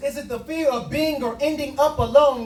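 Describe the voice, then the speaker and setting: An extremely high-pitched male voice with music in the background. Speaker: spoken word poet. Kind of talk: spoken word poetry performance. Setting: live open mic at a restaurant.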